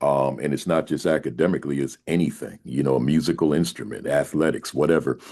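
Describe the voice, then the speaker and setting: A man's voice with vocal fry and ordinary pitch variation, fairly quick, over a quiet background. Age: 60s. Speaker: school principal and education speaker. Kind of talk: podcast interview. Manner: many repetitions and restarts; casual, conversational.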